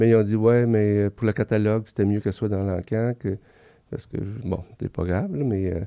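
Against a quiet background, a man talks at a fairly quick pace with a dark, mellow tone. His pitch sits fairly low, and his intonation is fairly even. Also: dry, close sound with no echo. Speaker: veterinarian. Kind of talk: interview.

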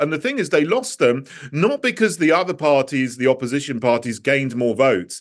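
Speaking with a British accent at a fairly quick pace and with hardly any pauses, a man talks at a fairly high pitch. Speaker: politician. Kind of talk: interview.

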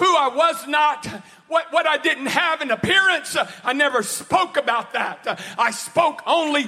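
A man with an extremely high pitch speaks in a raised, projected voice at a fairly slow pace, animated in tone, with ordinary pitch variation, very even loudness and noticeable background noise. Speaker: preacher. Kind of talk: sermon.

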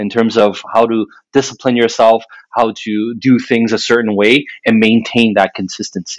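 Monotone, flat intonation runs through this man's speech. He talks at a moderate pace in a medium pitch. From Quebec, Montreal. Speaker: real estate agent. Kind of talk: interview. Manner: frequent filler sounds.

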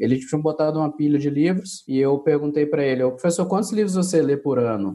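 This is an unremarkable speaking voice with lively intonation. The pace is fairly quick. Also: man. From Brazil, Minas Gerais (Belo Horizonte). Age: 30s. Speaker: business consultant and coach. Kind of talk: interview.

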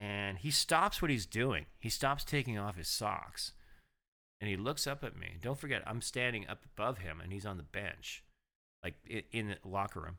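A fairly low-pitched male voice, bright and sharp in tone, animated, with lively intonation at a moderate pace on a very clean recording with a silent background. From Ottawa, Canada. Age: 50s. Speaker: former sports reporter. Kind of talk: casual chat.

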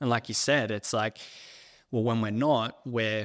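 A normal speaking voice with fairly even intonation. The recording is very clean, with a silent background and a dry, close sound without echo. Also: man. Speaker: podcast host. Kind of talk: casual chat.

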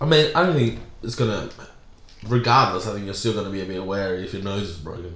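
With an animated tone and lively intonation, a man with a fairly low voice talks at a very fast pace. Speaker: comedian. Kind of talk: casual banter. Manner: animated, joking.

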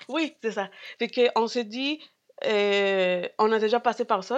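The voice carries a Spanish accent and ordinary pitch variation, set against a quiet background. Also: woman. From Peru. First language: Spanish (speaking French). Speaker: grocery store co-owner. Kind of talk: casual chat. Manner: halting.

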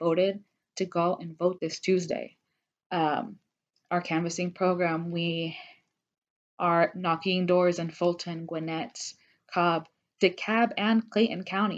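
A woman with an American accent speaks fairly low and fairly slowly in a flat monotone. The background is quiet. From Georgia, US. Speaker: political organizer. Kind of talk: interview. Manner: halting, many fillers.

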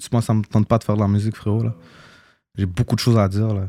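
On a very clean recording with a silent background, a man speaks very fast in a dark, mellow, fairly low voice with flat, monotone intonation. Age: 20s. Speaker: former rapper. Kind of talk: casual interview.

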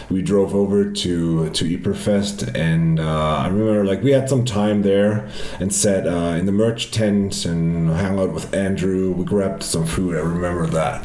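Over noticeable background noise, a man speaks at a moderate pace. His very deep, low voice shows ordinary pitch variation. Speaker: festival organizer. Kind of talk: casual chat. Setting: face to face in Cologne.

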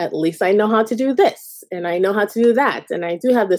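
Her tone is dark and mellow, with ordinary pitch variation. The woman talks at a very fast pace. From Jamaica. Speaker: audience participant. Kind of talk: casual chat.

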